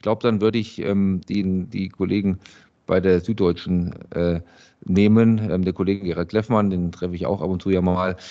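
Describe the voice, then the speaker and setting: Over a quiet background, a man with a very deep, low pitch and a dark, mellow tone speaks at a moderate pace, his intonation fairly even but his loudness swinging widely. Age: 40s. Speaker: journalist and podcast producer. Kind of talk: casual chat.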